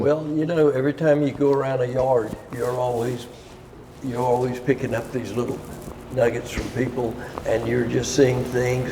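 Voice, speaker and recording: Flat, monotone speech with an American accent at a moderate pace, amid noticeable background noise. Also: man. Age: 80s+. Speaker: boat builder. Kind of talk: interview answer.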